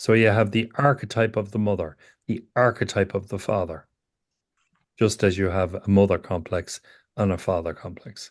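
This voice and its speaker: A man's fairly low voice with an Irish accent, fairly even intonation and a moderate pace, against a quiet background. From Ireland. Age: 60s. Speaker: psychotherapist teacher. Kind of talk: lecture.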